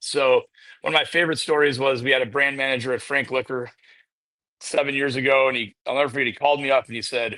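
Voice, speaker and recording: Against a quiet background, a man talks very fast at a medium pitch in a bright, sharp tone. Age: 40s. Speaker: distillery head of sales. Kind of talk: casual interview chat. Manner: animated storytelling.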